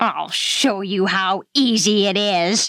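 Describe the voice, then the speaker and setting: A woman's put-on character voice with a menacing tone, a medium pitch and a very slow pace. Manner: scornful, menacing.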